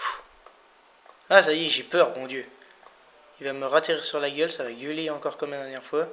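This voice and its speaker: Fairly quick speech broken by long, frequent pauses, with big swings in loudness and noticeable background noise. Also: man, fairly high pitch for a man. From France (Vosges / Landes). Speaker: gaming youtuber. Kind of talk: let's play commentary. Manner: animated.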